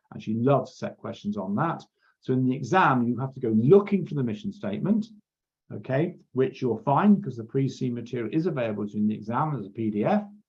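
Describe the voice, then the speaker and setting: The voice is somewhat breathy and very fast. Its pitch swings very widely. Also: man, medium pitch for a man. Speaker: accounting exam tutor. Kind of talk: lecture.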